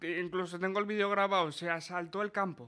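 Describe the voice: A man talks at a fairly quick pace in a high voice, with a bright, sharp tone and fairly even intonation.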